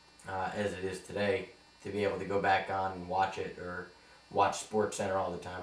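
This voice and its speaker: A man with an American accent, very deep and low in pitch, monotone and flat, at a fairly quick pace over noticeable background noise. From New York. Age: 20s. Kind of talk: audition tape, casual talk to camera.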